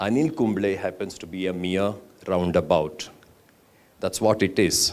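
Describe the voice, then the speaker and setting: A man with a Karnataka accent is speaking. His pace is fairly slow. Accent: Indian English (Kannada). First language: Kannada. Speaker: architect and poet. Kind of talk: conference talk.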